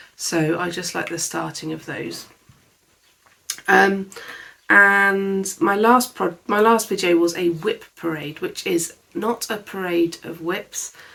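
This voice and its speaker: A bright, sharp tone, very slow pace and British accent. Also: woman, medium pitch for a woman. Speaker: crafts vlogger. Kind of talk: casual chat. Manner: soft-spoken.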